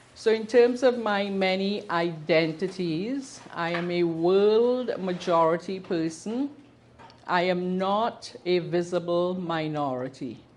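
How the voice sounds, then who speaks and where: Speaking with a Trinidadian accent, a woman talks at a very slow pace. Her pitch is medium, with ordinary variation. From Trinidad and Tobago. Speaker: queer history presenter, activist. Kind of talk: talk to a live audience. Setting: bookshop with audience.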